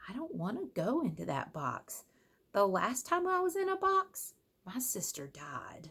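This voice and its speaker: A woman's put-on character voice, high-pitched, at a moderate pace, with very wide pitch swings. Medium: read story.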